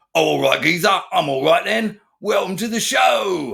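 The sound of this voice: A man's raspy, put-on character voice in a British accent at a moderate pace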